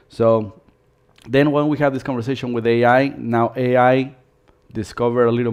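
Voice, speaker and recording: Monotone, flat intonation runs through this man's speech at a medium pitch. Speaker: dance studio owner giving business webinar. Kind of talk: live webinar presentation. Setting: live stream webinar.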